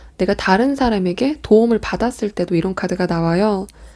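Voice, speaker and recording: A woman's tone is dark and mellow. She keeps a moderate pace. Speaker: tarot reader. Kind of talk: tarot reading. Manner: speeds up at times.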